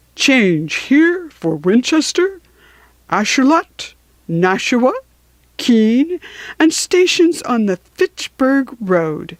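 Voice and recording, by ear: Using a put-on character voice, a woman speaks very slowly at a fairly high pitch with big pitch swings.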